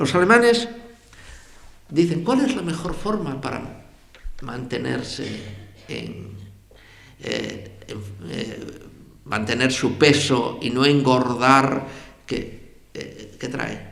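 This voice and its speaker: Very slow speech from a man, big swings in loudness, long, frequent pauses. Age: 80s+. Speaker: journalist and writer. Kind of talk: public lecture.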